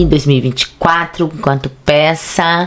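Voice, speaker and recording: Over noticeable background noise, a woman with a very deep, low pitch speaks in an animated tone. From Brazil, Bahia (Ilhéus). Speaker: actress, theatre director and activist. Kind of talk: casual interview chat. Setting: studio.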